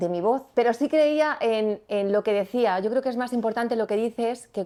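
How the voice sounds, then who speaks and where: Fairly high pitch for a woman, with a dark, mellow tone. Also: ordinary pitch variation, moderate pace. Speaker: radio presenter. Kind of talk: interview conversation. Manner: spontaneous, natural delivery.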